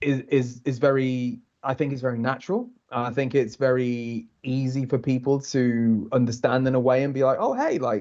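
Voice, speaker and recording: A man at medium pitch with monotone, flat intonation. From Liverpool, England. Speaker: TV continuity announcer. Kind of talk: casual interview. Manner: fast.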